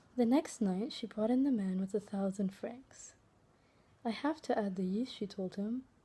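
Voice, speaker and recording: A soft-spoken woman with a fairly high pitch and a dark, mellow tone. Her voice is somewhat breathy, with ordinary pitch variation. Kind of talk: read fairytale.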